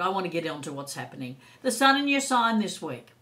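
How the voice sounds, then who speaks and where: Her pitch at medium and swinging very widely, a woman speaks at a fairly quick pace amid audible room echo. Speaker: psychic tarot reader. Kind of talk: casual anecdote; astrology and tarot forecast monologue. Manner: animated.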